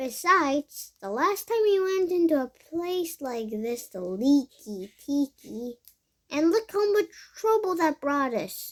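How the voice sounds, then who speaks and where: Using a put-on character voice, a woman mumbles at a high pitch with very wide pitch swings. Her pace is fairly slow. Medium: read story. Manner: mumbling, skeptical.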